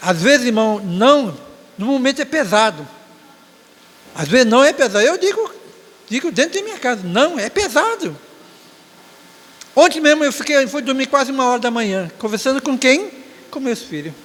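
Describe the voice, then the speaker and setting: This man's pitch is extremely high and swings very widely, at a moderate pace. He leaves long, frequent pauses over noticeable background noise. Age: 60s. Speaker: church elder giving closing remarks at Sunday school. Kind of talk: Sunday school exhortation. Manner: halting, with frequent self-corrections.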